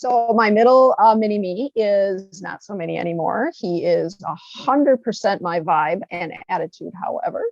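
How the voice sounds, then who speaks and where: A woman speaks with an American accent at medium pitch and ordinary pitch variation. The sound is dry and close with no echo. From northern Wisconsin, Eau Claire. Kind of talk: interview. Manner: animated.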